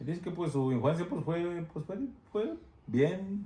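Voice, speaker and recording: With a dark, mellow tone and a somewhat breathy quality, a man speaks at a fairly quick pace with very wide pitch swings amid audible room echo. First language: Spanish. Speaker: interviewer. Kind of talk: bilingual interview with translation. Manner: halting.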